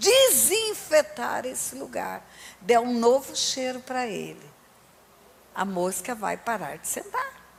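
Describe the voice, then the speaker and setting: A woman at a very slow pace, with long, frequent pauses, big swings in loudness and noticeable background noise. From Resende, Rio de Janeiro, Brazil. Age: 60s. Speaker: pastor. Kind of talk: sermon.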